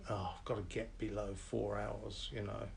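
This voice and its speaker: Audible room echo surrounds a man as he speaks. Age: 70s. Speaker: parkrun volunteer and veteran marathon runner. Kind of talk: interview. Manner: hesitant, many fillers.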